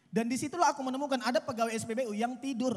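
Extremely high pitch from a man, with ordinary pitch variation. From North Sumatra, Indonesia. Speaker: stand-up comedian. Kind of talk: stand-up comedy. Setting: stage with live audience outdoors. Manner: conversational, casual, punchlines paced for laughter and applause. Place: stage. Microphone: handheld.

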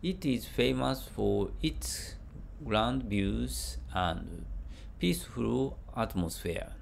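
A very slow voice with a Japanese accent, vocal fry, very wide pitch swings and very even loudness. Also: man, very deep, low pitch for a man. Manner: halting, with hesitations.

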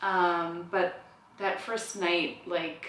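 A woman speaks with a fairly low pitch and a monotone, flat intonation. There is audible room echo and light background noise. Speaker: new mother vlogger. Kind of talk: casual vlog chat. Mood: warm, reflective. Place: home room. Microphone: camera far.

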